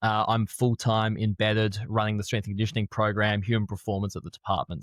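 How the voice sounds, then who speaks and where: A man with an Australian accent talks at a fairly quick pace and a fairly low pitch. The sound is dry and close with no echo, in a very clean recording with a silent background. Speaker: strength and conditioning coach. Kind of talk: podcast interview.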